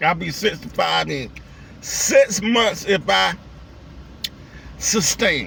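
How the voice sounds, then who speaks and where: Long, frequent pauses break up a man's very slow speech against noticeable background noise. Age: 60s. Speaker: vlogger. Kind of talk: casual vlog monologue. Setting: in a car. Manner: rambling, profane casual speech.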